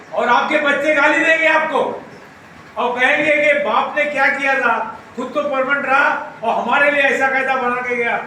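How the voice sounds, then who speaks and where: With a raised, projected voice at an extremely high pitch, a man speaks with ordinary pitch variation amid audible room echo and noticeable background noise. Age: 80s+. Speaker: trade union leader. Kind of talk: speech at union annual meeting. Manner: halting, many fillers and restarts.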